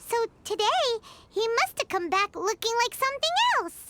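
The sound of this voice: A woman's cartoonish character voice, extremely high and bright and sharp in tone, with big pitch swings at a moderate pace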